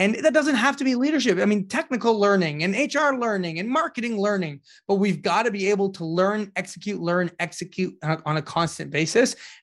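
A man speaks with a high pitch and lively intonation at a fairly quick pace, hardly pausing. The recording is very clean, with a silent background. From Canada, Ottawa. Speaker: startup leadership trainer. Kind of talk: interview. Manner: halting.

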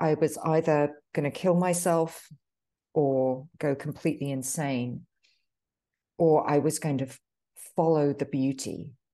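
With a British accent, a woman speaks at a fairly slow pace in a very deep, low pitch, her intonation fairly even against a quiet background. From United Kingdom. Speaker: author. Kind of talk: casual interview conversation.

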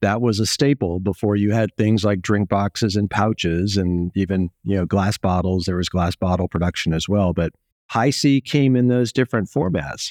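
A man with an American accent talks in a normal speaking voice at a fairly low pitch. The sound is dry and close with no echo, over a quiet background. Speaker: supply chain executive. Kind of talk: interview.

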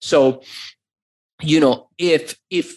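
The voice belongs to a man with a fairly high pitch. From US, Iranian immigrant family. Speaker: e-commerce entrepreneur. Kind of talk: interview. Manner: animated.

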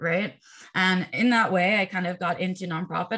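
Talking at a fairly quick pace, a woman has an ordinary speaking voice. Her pitch is medium. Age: 40s. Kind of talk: casual interview.

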